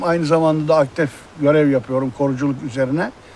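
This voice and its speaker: A fairly quick, fairly high-pitched man with ordinary pitch variation amid noticeable background noise. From Turkey, Izmir. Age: 60s. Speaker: former fisherman, marine conservationist. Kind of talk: interview testimony.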